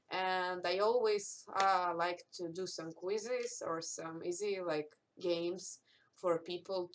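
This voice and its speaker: A woman's fairly low-pitched voice with a non-native accent and fairly even intonation. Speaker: cosplayer. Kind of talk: live stream Q&A. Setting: live stream. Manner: halting.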